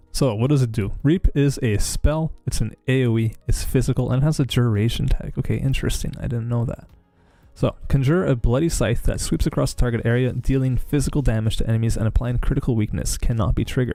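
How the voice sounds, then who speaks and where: With music playing behind him, a man talks very fast at a medium pitch, his pitch varying in an ordinary way. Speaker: gaming streamer. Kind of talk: live stream tutorial. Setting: live stream. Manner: casual, filler-heavy.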